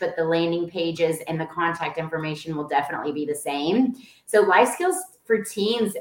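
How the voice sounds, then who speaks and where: A woman with a Texan accent talks at a fairly quick pace. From Dallas-Fort Worth, Texas. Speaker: real estate agency owner, nonprofit founder. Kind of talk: casual interview.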